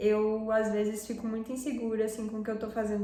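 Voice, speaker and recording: A woman with a fairly high pitch is heard amid audible room echo and noticeable background noise. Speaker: fashion and culture YouTuber. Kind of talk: casual vlog commentary.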